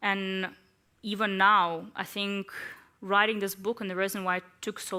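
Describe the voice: What you hear is plain reading aloud.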